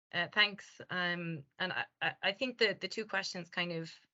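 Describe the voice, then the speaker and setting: Her voice sits at a medium pitch. The woman talks with an Irish accent. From Ireland. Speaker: language company founder and presenter. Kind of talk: webinar Q&A answer. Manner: hesitant, many fillers.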